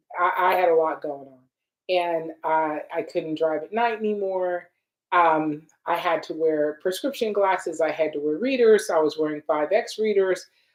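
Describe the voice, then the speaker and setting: An unremarkable speaking voice, a woman at a fairly low pitch talks at a moderate pace with ordinary pitch variation and big swings in loudness. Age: 60s. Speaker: skincare product maker and livestream host. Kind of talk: live Q&A livestream. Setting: livestream on social media.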